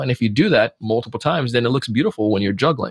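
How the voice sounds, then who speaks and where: The recording is dry and close with no echo as a man speaks at a very fast pace. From Jamaica, Spanish Town. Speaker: sales trainer and podcast host. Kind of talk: casual interview. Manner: animated.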